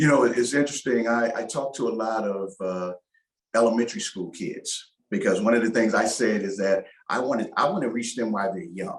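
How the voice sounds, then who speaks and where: This man has an unremarkable speaking voice, talking at a fairly quick pace and medium pitch with ordinary pitch variation. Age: 60s. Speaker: former NFL player and choir singer. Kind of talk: interview.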